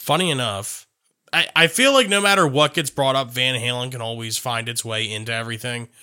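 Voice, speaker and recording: A man talks fairly quickly in a bright, sharp tone at medium pitch with ordinary pitch variation. The recording is very clean, the background silent. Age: 20s. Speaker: podcast host. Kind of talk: casual chat.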